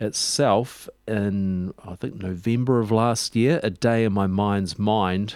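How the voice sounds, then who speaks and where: The speaker has a New Zealand accent. The pace is very slow. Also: man. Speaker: radio host. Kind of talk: radio DJ patter between records, relaxed, informative show host chat.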